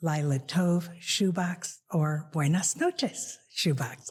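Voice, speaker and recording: A woman's very deep, low, somewhat breathy voice with fairly even intonation. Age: 90s. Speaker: author. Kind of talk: casual chat.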